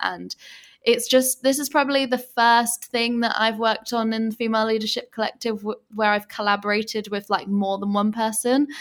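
A woman with an English accent talks at a fairly quick pace and a fairly high pitch. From England. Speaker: podcast host and online business owner. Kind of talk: interview about her story and business. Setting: Bali, late evening.

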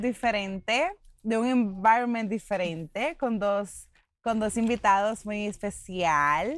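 In a very clean recording with a silent background, a woman speaks at a very slow pace with lively intonation. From Puerto Rico. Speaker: podcast host. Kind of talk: casual chat. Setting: outdoors at a campsite.

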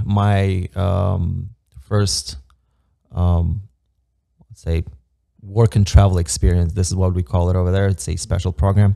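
A fairly low-pitched man with an Eastern European accent at a fairly slow pace. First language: Romanian. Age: 30s. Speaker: immigrant construction project manager. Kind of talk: casual podcast interview.

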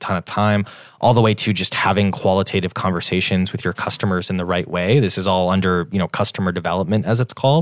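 Talking at a very fast pace, a man with an American accent uses a fairly low pitch and fairly even intonation. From US Midwest (Wisconsin). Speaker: startup founder and CEO. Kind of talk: interview. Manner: fast with many fillers.

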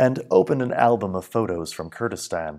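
A man with an ordinary speaking voice speaks at medium pitch and moderate pace with lively intonation, recorded very cleanly over a silent background. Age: 40s. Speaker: English teacher. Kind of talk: reading aloud of a personal essay.

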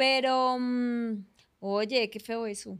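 A woman speaks in a high voice with a bright, sharp tone. Her intonation stays fairly even. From Colombia, Barranquilla. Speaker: actress. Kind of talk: casual chat.

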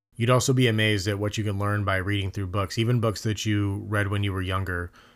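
A man speaks in a flat monotone at a fairly low pitch. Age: 30s. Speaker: podcast host, father. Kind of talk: solo podcast monologue.

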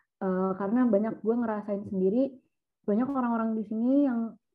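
A woman talks at a very fast pace. Her pitch is fairly high, with ordinary variation. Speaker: university student, school alumna. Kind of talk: casual chat.

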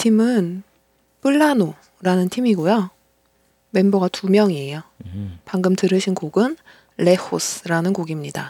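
With a dark, mellow tone and lively intonation, a woman speaks at a medium pitch and a very slow pace, leaving long, frequent pauses. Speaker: podcast host. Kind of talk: casual chat.

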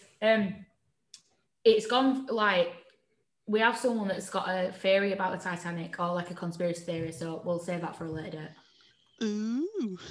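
This woman has a northern English accent and a medium pitch, with ordinary pitch variation and a somewhat breathy voice. She talks at a moderate pace with long, frequent pauses, and audible room echo surrounds her. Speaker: podcast co-host. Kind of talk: casual chat. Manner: animated, laughing often.

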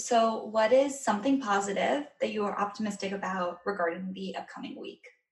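An unremarkable speaking voice from a woman, medium in pitch with ordinary pitch variation, fairly quick and with hardly any pauses, plus big swings in loudness. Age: 20s. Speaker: podcast host. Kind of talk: casual interview. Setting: video call.

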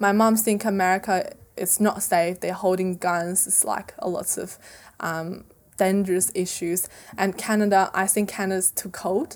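On a very clean recording with a silent background, a woman with a Chinese accent and medium pitch speaks at a moderate pace, monotone and flat, with long, frequent pauses. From central China, Zhengzhou. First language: Mandarin Chinese. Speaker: former international student. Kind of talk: interview. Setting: school, recorded in person.

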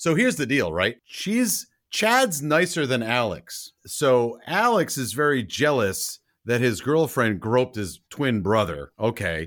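On a very clean recording with a silent background, a man with a medium-pitched voice and vocal fry speaks at a fairly slow pace in an animated tone, his pitch swinging very widely. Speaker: podcast co-host. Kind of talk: casual chat, movie review podcast. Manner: animated, joking.

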